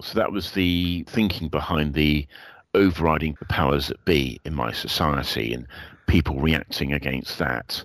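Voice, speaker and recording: With a very deep, low pitch and vocal fry, a man talks at a moderate pace with ordinary pitch variation. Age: 50s. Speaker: aspiring novelist. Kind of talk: casual chat.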